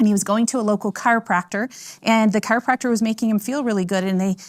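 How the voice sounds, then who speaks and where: A woman's fairly high voice at a very fast pace, with ordinary pitch variation, on a very clean recording with a silent background. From US South, Florida. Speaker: doctor, product speaker. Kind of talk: presentation to audience. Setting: live event with audience. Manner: casual, friendly.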